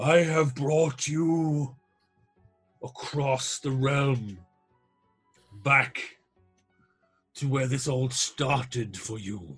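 A man in a put-on character voice, medium in pitch, very slow, with long, frequent pauses and faint music in the background. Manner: grand, commanding.

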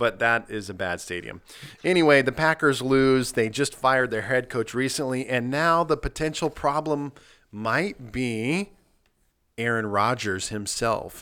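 A man with an American accent at a fairly slow pace, animated, bright and sharp in tone, medium in pitch with ordinary variation, on a very clean recording with a silent background. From Nebraska. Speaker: pastor and podcast host. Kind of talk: casual chat. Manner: lots of fillers and restarts.

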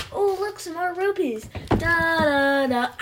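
With clear background noise behind it, a woman puts on a character voice at an extremely high pitch and a fairly slow pace. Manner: mocking, carefree, sing-song.

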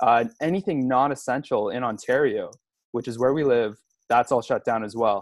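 In a Canadian accent, a man with an unremarkable speaking voice talks at medium pitch and a moderate pace, with ordinary pitch variation, over a quiet background in a dry, close sound with no echo. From Montreal area, Canada. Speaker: podcast co-host, father. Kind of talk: casual chat.

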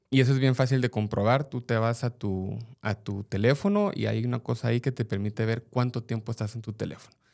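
A man talks fairly quickly with hardly any pauses, in a plain, everyday voice at medium pitch and fairly even intonation. The recording is very clean, with a silent background. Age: 40s. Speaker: parent, digital safety speaker. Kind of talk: casual chat.

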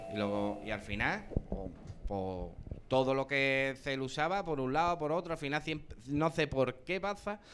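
This man has an ordinary speaking voice with a fairly high pitch. His intonation is lively. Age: 30s. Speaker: costalero. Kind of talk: live panel discussion. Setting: live in a bar with audience.

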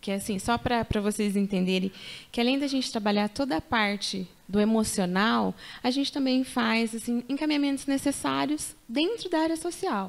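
On a very clean recording with a silent background, a woman with an unremarkable speaking voice talks at a moderate pace, her fairly high pitch carrying lively intonation at very even loudness. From Paraná, Brazil. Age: 30s. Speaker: mother and social psychologist. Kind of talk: testimony.

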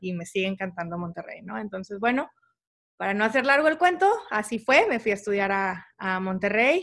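Over a quiet background, a woman with a northern Mexican accent speaks at a moderate pace, her fairly high voice bright and sharp in tone. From Tamaulipas, Mexico (Mante). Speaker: civil engineer. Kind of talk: interview.

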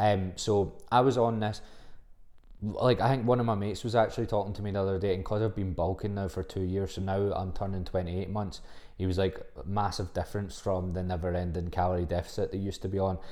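A man in a Scottish accent at a very fast pace, fairly low in pitch, with a dark, mellow tone and fairly even intonation. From Scotland, Livingston (West Lothian). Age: 20s. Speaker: fitness coach. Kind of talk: casual solo podcast monologue. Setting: home recording, solo podcast.

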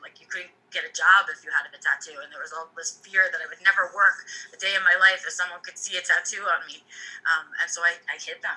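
With an American accent, a woman speaks at a fairly quick pace. Her loudness rises and falls sharply. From United States. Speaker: podcast co-host and teacher. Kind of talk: casual chat.

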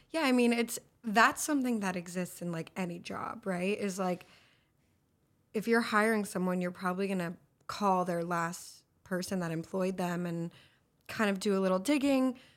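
In a normal speaking voice, a woman with an American accent talks at a moderate pace and a medium pitch with ordinary pitch variation, on a very clean recording with a silent background. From Los Angeles. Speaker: actress and film director. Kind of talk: interview podcast, casual chat.

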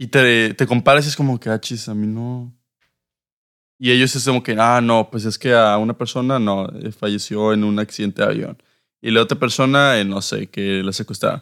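A man's unremarkable speaking voice at medium pitch and moderate pace, with fairly even intonation, a dry, close sound with no echo, and a very clean recording with a silent background. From northern Mexico (Reynosa, Monterrey). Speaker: podcast co-host. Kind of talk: casual chat.

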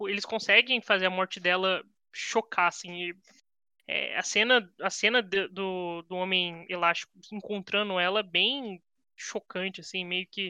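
Against a quiet background, the voice sounds bright and sharp at a fairly slow pace, dry and close with no echo. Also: woman. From Brazil, São José dos Campos (São Paulo state). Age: 20s. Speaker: comics fan guest. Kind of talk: casual chat.

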